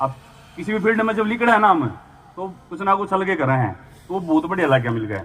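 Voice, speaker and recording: A man speaks in a high pitch with a Haryana accent, his pitch swinging very widely. Background noise is noticeable. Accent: Haryanvi. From Haryana, India. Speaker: javelin athlete. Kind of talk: public speech.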